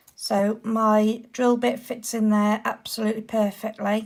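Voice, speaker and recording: Speaking at a very slow pace, a woman talks with a British accent. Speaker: nail art youtuber. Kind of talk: product review to camera. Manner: upbeat.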